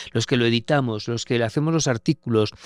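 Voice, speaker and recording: A man talks at a fairly quick pace with ordinary pitch variation, the sound dry and close with no echo. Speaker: war correspondent. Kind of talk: interview conversation. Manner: halting.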